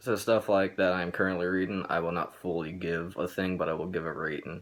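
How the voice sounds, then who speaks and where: This man's pitch is very deep and low, and his intonation is monotone and flat. He talks at a fairly quick pace. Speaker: entertainment reviewer YouTuber. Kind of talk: casual vlog monologue. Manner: halting, stuttering; hesitant with many fillers.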